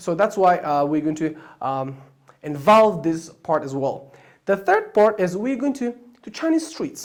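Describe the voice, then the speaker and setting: Using lively intonation, a man speaks at a high pitch and a fairly slow pace. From Afghanistan. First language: Persian and Pashto. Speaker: language teacher. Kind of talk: channel introduction talk. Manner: halting, many fillers.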